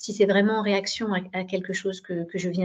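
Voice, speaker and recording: This woman talks at a moderate pace in a medium pitch. Her voice is somewhat breathy. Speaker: digital education program director. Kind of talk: webinar presentation. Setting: video conference. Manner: hesitant, many fillers.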